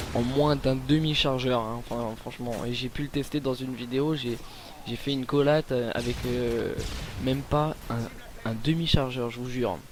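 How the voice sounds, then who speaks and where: Noticeable background noise sits behind the speech. A man talks fairly slowly at a medium pitch with fairly even intonation. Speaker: gaming commentator. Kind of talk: gameplay commentary. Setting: at home late at night. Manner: hesitant, many fillers.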